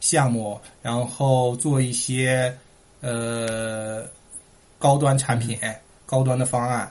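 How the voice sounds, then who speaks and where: A man's somewhat breathy voice sits at medium pitch with fairly even intonation. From Heilongjiang, northeast China (Shuangyashan). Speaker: immigrant entrepreneur. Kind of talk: casual interview chat.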